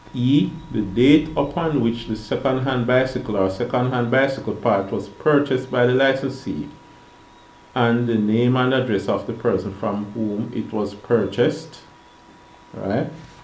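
A man talks at a medium pitch with ordinary pitch variation. Audible room echo surrounds his voice. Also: moderate pace. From Jamaica. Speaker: non-lawyer explaining laws online. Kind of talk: reading aloud.

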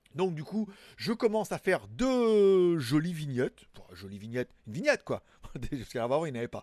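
A man speaks at a moderate pace with very wide pitch swings, the sound dry with no echo and the background quiet. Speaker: tech news show host. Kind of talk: casual news commentary. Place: home room. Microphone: studio mic.

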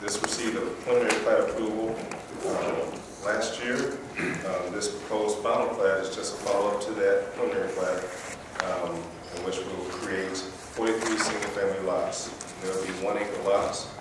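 A man speaks at a moderate pace with audible echo in the room. Loud background noise runs under his voice. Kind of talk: staff report presentation. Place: meeting room.

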